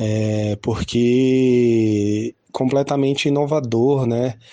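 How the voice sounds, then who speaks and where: The voice has a dark, mellow tone and monotone, flat intonation, moving at a very slow pace. The background is quiet. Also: man. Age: 30s. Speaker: harm reduction worker. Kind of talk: testimony. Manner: hesitant, many fillers.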